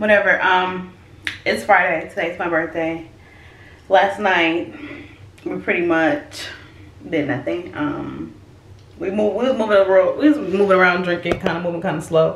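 A woman's fairly low voice with ordinary pitch variation, a moderate pace, long and frequent pauses, and audible room echo. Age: 20s. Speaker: vlogger. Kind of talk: casual vlog. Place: bathroom. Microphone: phone near.

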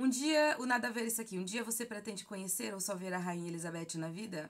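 Against a quiet background, a woman talks at a fairly quick pace. Her intonation is lively. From Brazil, Bahia (Feira de Santana); Bahia, Brazil. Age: 30s. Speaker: gaming YouTuber. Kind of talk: casual Q&A vlog. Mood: relaxed, friendly. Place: home room. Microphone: phone near.

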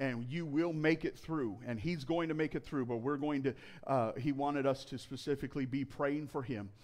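His pitch sits in the medium range, and this man varies it an ordinary amount.

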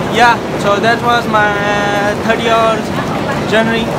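A man speaks at a fairly slow pace against loud background noise. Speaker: travel vlogger. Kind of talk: casual vlog chat. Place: station. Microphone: phone near.

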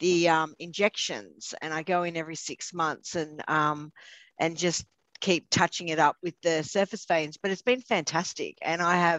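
In a normal speaking voice, a woman with a fairly low pitch talks at a moderate pace with fairly even intonation, the sound dry with no echo against a quiet background. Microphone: video call.

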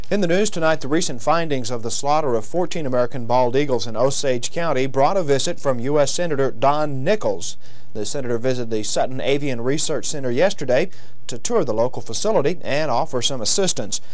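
A man's fairly quick speech, with very even loudness and ordinary pitch variation. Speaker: news anchor. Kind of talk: news reading. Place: studio.

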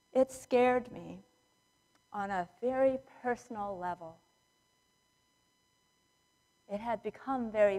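Against a quiet background, a woman speaks at a fairly slow pace with ordinary pitch variation. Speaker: preacher. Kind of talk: sermon. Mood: somber, reflective. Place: church.

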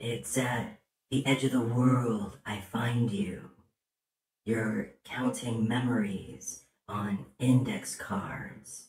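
This cartoonish character voice moves at a very slow pace. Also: man, medium pitch for a man. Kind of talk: poetry reading. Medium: puppet. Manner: tender, dreamy.

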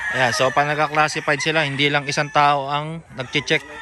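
Speaking at a fairly quick pace, a man with a fairly high pitch is heard over noticeable background noise. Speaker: vlogger touring a gamefowl farm. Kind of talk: casual vlog narration.

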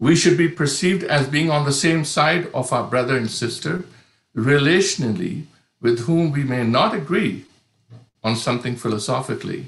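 A man talks at a moderate pace in a somewhat breathy voice with ordinary pitch variation. There is audible room echo against a quiet background. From India. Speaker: pastor, panelist. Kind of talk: prepared talk. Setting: online video conference. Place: home room. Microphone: video call.

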